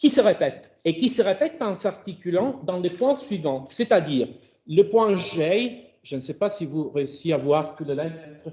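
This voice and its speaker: With an Italian accent, a man speaks at a fairly slow pace in a dark, mellow tone, his high pitch making very wide swings. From Italy. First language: Italian (speaking French). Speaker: philosophy of language professor. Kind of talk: academic seminar talk. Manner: halting, with self-corrections.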